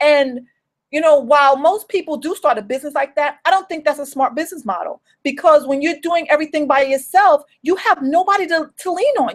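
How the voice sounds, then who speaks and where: A woman with a New York accent speaks at a high pitch. Her tone is animated and her intonation lively. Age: 40s. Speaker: home business coach. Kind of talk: motivational livestream talk. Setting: solo live video stream.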